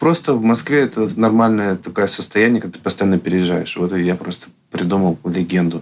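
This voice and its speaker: Here is a plain, everyday voice. The man speaks with fairly low pitch and ordinary pitch variation. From Russia, Yekaterinburg. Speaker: artist and meme channel creator. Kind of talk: casual interview.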